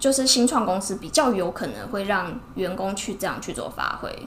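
A woman's medium-pitched voice with ordinary pitch variation and big swings in loudness, at a moderate pace with hardly any pauses, over noticeable background noise. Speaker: ear-cleaning shop owner, entrepreneur. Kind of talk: casual interview. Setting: in her shop.

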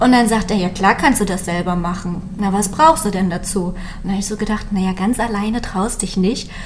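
Echo from the room is audible as a woman speaks, her pitch varying in an ordinary way. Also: medium pitch for a woman, fairly quick pace. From Mecklenburg-Western Pomerania, Malchin. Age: 30s. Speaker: small business founder, caregiver. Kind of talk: interview.

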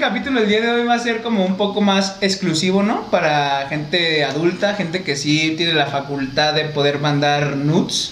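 A man speaks at a high pitch with very even loudness and hardly any pauses. Noticeable noise sits in the background. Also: ordinary pitch variation, moderate pace. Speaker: podcast host. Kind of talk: casual chat.

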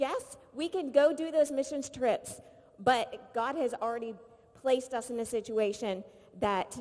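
Pitched high, a woman's voice comes across with an animated tone. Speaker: volunteer activity leader. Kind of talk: casual presentation. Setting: stage with audience.

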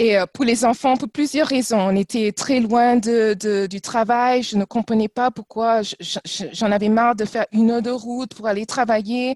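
A woman with a plain, everyday voice and a fairly high pitch talks at a fairly slow pace with fairly even intonation and hardly any pauses, in a dry, close sound with no echo. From France and Trinidad. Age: 40s. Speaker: former corporate ambassador. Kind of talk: casual interview. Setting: video call.

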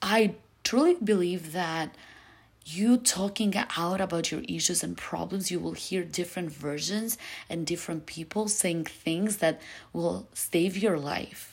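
Vocal fry with ordinary pitch variation. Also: woman, fairly low pitch for a woman, fairly slow pace. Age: 20s. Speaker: podcast host. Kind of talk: casual monologue. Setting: friend's apartment.

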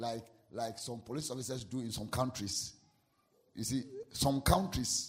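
A man with a Ghanaian accent speaks at a medium pitch and moderate pace in an animated tone with ordinary pitch variation, leaving long, frequent pauses amid audible room echo. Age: 40s. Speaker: pastor. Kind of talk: sermon.

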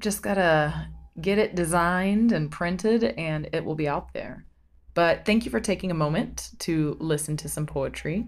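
A woman with a fairly low pitch, lively intonation and vocal fry. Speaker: poet and podcast host. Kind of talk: poetry reading, spoken word. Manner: slow, hushed, sensual, with repetition and rising intensity.

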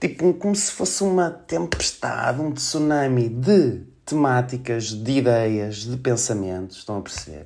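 A man with a medium pitch speaks at a fairly slow pace, with hardly any pauses. His pitch swings very widely. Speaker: podcast host. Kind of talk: casual monologue. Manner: animated.

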